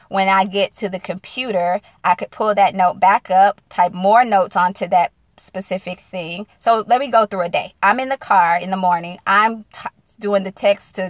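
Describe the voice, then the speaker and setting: A woman speaks at a moderate pace with a Southern US accent, her pitch medium and her intonation fairly even. The background is quiet, and the sound is dry and close with no echo. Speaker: single-mom business coach. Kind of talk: live-stream casual talk. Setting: in a car.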